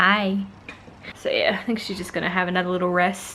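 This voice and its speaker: In an Australian accent, a woman talks at a fairly quick pace in a flat monotone over noticeable background noise. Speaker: family vlogger. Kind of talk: casual vlog chat. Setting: outdoors; at home. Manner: whispering.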